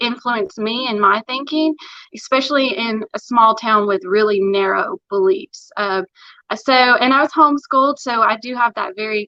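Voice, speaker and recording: A woman's fairly high, bright and sharp voice in a strong Appalachian accent, at a moderate pace with ordinary pitch variation, dry and close with no echo. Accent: thick Appalachian. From Tennessee, Morristown near Knoxville. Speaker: interview guest. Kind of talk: casual interview chat.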